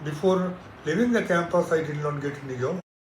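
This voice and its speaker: A man with an Indian accent, at a fairly high pitch and a moderate pace. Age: 70s. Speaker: retired engineer. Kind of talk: interview answer.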